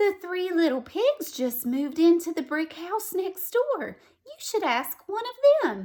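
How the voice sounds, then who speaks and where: A woman speaks in a put-on character voice, raised and projected, with extremely high pitch. Her pace is moderate. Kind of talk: bedtime story. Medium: read story. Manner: warm, gentle.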